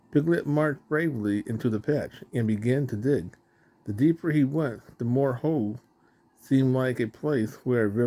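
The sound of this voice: Reading in an unforced voice.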